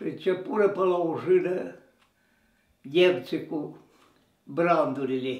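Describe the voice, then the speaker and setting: In a room with audible echo, a man speaks at a very slow pace with long, frequent pauses, using a high pitch and ordinary pitch variation. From Transylvania, Romania. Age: 80s+. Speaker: war veteran. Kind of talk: interview storytelling.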